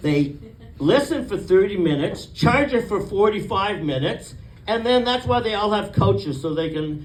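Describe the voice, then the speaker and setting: Noticeable background noise and audible room echo surround a man with a Canadian accent, speaking at a moderate pace with very wide pitch swings. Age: 60s. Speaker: comedian. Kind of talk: stand-up.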